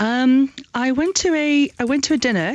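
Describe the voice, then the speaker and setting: A woman is heard with a dry, close sound and no echo. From South Africa. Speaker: education entrepreneur. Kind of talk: radio interview. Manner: halting.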